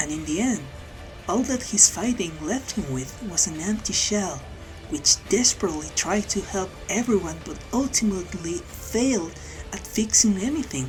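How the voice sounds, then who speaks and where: Music can be heard behind the voice. A woman talks at a moderate pace. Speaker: anime video essayist. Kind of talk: video essay narration.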